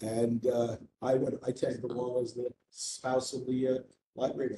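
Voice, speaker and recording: At a fairly quick pace, a man speaks with a somewhat breathy, dark, mellow tone at medium pitch and monotone, flat intonation. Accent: American. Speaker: committee member. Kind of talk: meeting discussion. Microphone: muffled, hand over mouth.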